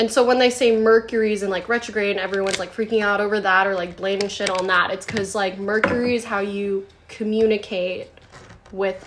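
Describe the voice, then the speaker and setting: Noticeable background noise runs beneath a voice that moves at a moderate pace with monotone, flat intonation. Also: woman. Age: 30s. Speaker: podcast guest. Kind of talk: casual chat.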